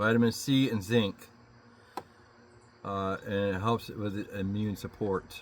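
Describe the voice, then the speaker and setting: Mumbling in a flat monotone, a man speaks at a fairly slow pace with long, frequent pauses. His pitch is fairly low. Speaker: DIY car mechanic vlogger. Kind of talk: casual vlog talk. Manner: mumbling, low.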